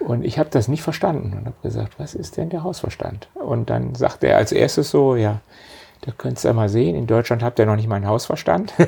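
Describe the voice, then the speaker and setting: Over noticeable background noise, a man talks at a fairly quick pace and medium pitch with lively intonation. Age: 50s. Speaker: company managing director. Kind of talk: interview conversation.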